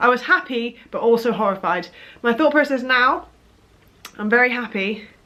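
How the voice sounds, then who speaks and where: Over noticeable background noise, a woman with a British accent talks at a fairly quick pace with lively intonation. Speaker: vlogger. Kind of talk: casual vlog chat. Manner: rambling, hesitant.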